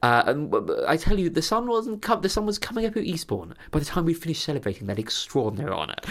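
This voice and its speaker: Talking at a very fast pace with hardly any pauses, a man with a southern English accent and a high pitch makes very wide pitch swings. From southern England (Sussex countryside near Crawley). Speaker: podcast co-host. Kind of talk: casual chat. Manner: halting, many repeated words.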